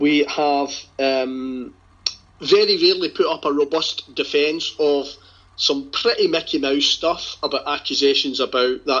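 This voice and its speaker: In a Glasgow accent, a man speaks at a fairly slow pace. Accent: Scottish (Glasgow). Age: 50s. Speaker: football supporters' group leader. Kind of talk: casual chat.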